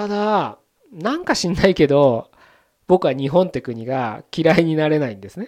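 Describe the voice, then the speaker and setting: An unremarkable speaking voice, a man's, fairly high in pitch, moves at a moderate pace with lively intonation and big swings in loudness. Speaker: podcast host. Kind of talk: solo monologue podcast. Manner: casual, conversational.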